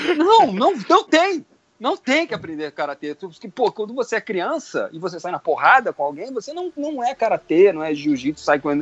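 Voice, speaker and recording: A moderate pace with hardly any pauses. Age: 50s. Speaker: sci-fi writer and commentator. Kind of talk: casual chat. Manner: animated.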